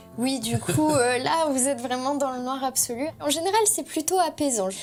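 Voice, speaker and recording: A woman's high voice with very wide pitch swings at a moderate pace, music playing behind her. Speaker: sensory workshop guide. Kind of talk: interview conversation.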